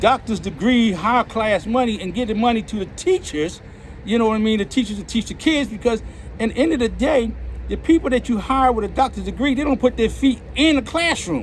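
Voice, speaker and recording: With noticeable background noise behind him, a man speaks at an extremely high pitch, fairly quickly, with lively intonation. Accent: Philadelphia. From Philadelphia. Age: 60s. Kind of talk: street interview answer.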